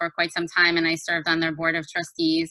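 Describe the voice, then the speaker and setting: A woman's bright, sharp voice, fairly low in pitch, with a New Jersey accent. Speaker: judicial candidate, lawyer. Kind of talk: candidate introduction. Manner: hesitant, many fillers.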